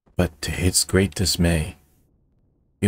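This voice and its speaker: A man speaks at a fairly slow pace with a very deep, low pitch. His voice is somewhat breathy. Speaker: storyteller and video creator. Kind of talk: bedtime-style storytelling, scripted fairy-tale narration. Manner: storyteller's measured, expressive narration with whimsical emphasis.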